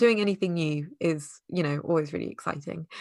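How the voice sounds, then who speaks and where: A woman with a British accent speaks in a fairly low pitch with ordinary pitch variation. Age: 30s. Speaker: user researcher sharing estrangement story. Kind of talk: interview testimony.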